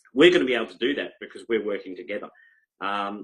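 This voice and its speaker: A man's fairly low-pitched voice moves along at a fairly quick pace. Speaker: crypto project promoter. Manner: fast talker, excited.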